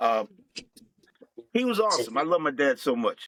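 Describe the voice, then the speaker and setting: A man with a Philadelphia accent at a moderate pace, bright and sharp in tone, with a dry, close sound and no echo. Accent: Philadelphia-area American. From US, Chester, Pennsylvania (Philadelphia area). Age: 60s. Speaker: military veteran and live-stream host. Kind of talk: podcast interview, life story.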